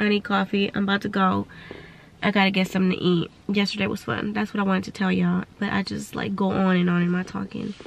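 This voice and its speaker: Very fast speech comes from a woman over noticeable background noise. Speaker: vlogger. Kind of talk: casual vlog monologue.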